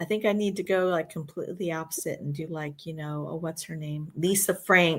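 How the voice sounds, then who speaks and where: Speaking at a fairly quick pace with hardly any pauses, a woman with an unremarkable speaking voice and fairly low pitch keeps her intonation fairly even. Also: very clean recording, silent background. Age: 60s. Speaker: retired art teacher and crafter. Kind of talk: casual chat. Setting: livestream.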